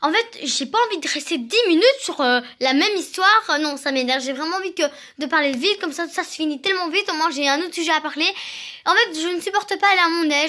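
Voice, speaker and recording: The voice is raised and projected, bright and sharp in tone, moving at a very fast pace. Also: woman. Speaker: vlogger. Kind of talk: casual vlog monologue.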